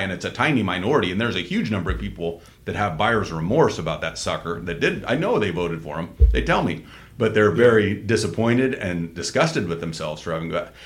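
A man speaks in a fairly low pitch with vocal fry and lively intonation. Audible room echo is present. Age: 50s. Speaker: political podcast host. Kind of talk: casual chat.

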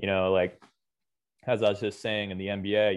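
A man with a fairly low pitch and an American accent. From United States. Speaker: basketball general manager. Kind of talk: interview.

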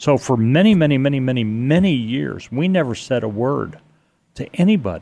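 Speaking at a moderate pace with lively intonation, a man with an American accent uses a medium pitch in an unremarkable speaking voice. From New York City area. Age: 60s. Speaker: 9/11 survivor, guest. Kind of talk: casual interview chat.

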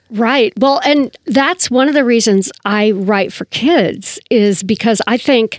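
A woman speaks at a fairly slow pace in a normal speaking voice, fairly high in pitch with lively intonation. The sound is dry and close, with no echo. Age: 60s. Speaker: author. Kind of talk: interview.

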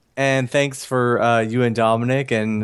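An American-accented man speaks with medium pitch. His delivery is fairly slow and flat in a monotone. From Georgia, US South. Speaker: actor and podcast host. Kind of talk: casual interview chat. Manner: halting, repeats words.

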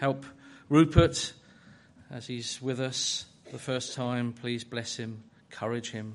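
A man speaks at a fairly slow pace. His pitch sits in the medium range. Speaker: church leader. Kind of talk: prayer and scripture reading.

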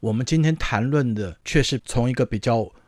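This recording of a man is very clean, with a silent background. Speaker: sports radio host. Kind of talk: casual chat.

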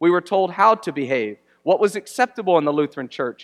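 Recorded dry and close with no echo, a man speaks at a high pitch with lively intonation. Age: 30s. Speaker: pastor. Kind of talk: sermon.

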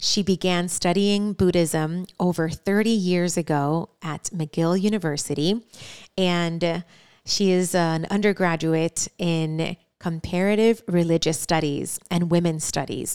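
In a Spanish accent, a woman with a fairly low voice speaks at a fairly slow pace with fairly even intonation, captured as a dry, close sound with no echo on a very clean recording with a silent background. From Cuba. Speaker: podcast host.

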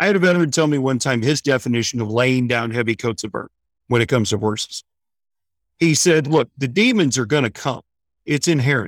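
A normal speaking voice comes from a man with an American accent, medium pitch and ordinary pitch variation, on a very clean recording with a silent background. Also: fairly quick pace, dry, close sound with no echo. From US Midwest, St. Louis, Missouri. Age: 40s. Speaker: veterans equine therapy organizer. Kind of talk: interview, casual storytelling.

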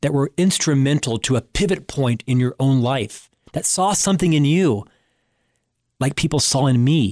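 In a normal speaking voice, a man talks at a moderate pace with a fairly high pitch, ordinary pitch variation and very even loudness, the sound dry and close with no echo on a very clean recording with a silent background. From Florida, US. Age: 50s. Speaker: radio show host. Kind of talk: interview and monologue on leadership.

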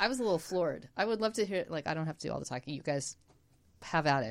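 With vocal fry and an animated tone, a woman talks at a very fast pace. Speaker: podcast co-host. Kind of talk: casual chat. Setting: studio.

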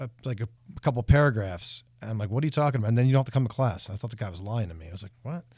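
Speaking at a very fast pace, a man uses medium pitch and lively intonation with big swings in loudness. His somewhat breathy voice is on a very clean recording with a silent background. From South Jersey, US. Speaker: country singer. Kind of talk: radio interview. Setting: radio studio.

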